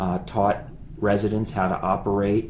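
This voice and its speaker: At a fairly slow pace, a man speaks in an ordinary speaking voice. His pitch is fairly low. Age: 40s. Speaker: finance professor. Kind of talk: casual chat.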